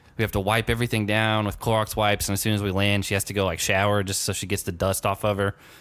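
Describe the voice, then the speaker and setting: Speaking very fast with hardly any pauses, a man with an American accent keeps a monotone, flat intonation. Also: fairly low pitch for a man. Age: 20s. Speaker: podcast host. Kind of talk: interview. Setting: podcast.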